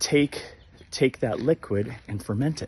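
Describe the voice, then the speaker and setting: A man speaks in a somewhat breathy voice. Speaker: vlogger. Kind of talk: casual walking vlog monologue. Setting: outdoors on a walk. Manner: quiet, lowered voice.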